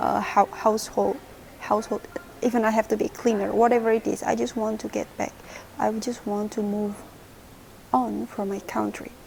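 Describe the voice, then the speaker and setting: A woman speaks at a moderate pace with long, frequent pauses, and there is noticeable background noise. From Indonesia, small city. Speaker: vlogger, former au pair. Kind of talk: personal story vlog. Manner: halting, many restarts.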